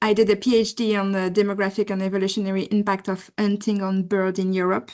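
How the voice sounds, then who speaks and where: Against a quiet background, a woman with a French accent speaks at a medium pitch. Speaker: postdoctoral researcher. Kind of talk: question in webinar Q&A. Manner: halting, many fillers.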